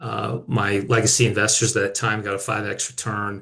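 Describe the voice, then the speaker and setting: A man talks in an American accent at a moderate pace. His fairly low voice has vocal fry and fairly even intonation. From rural Minnesota, US. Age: 40s. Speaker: company founder and CEO. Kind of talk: personal business story in webinar. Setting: video webinar.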